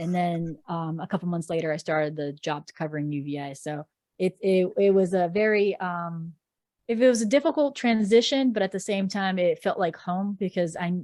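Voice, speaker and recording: A woman at medium pitch speaks at a moderate pace with ordinary pitch variation and a dark, mellow tone, in a very clean recording with a silent background. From Florida. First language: Portuguese. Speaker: sports reporter. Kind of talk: podcast interview.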